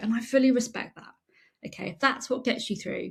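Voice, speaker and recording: A woman with a British accent talks at a fairly quick pace in an animated, somewhat breathy tone, on a very clean recording with a silent background. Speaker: franchise consultant and podcast host. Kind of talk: unscripted podcast monologue. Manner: varied natural intonation.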